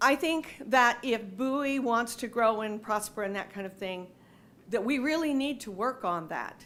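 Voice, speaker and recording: The woman's voice is fairly high-pitched, with ordinary pitch variation. She keeps a moderate pace. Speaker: resident making public comment. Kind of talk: public comment. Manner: loud.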